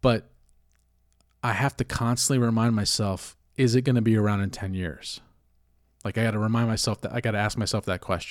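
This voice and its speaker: On a very clean recording with a silent background, an unremarkable speaking voice keeps fairly even intonation at a fairly quick pace. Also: man, medium pitch for a man. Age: 40s. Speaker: crypto podcaster, bartender. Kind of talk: casual monologue. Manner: conversational with many fillers.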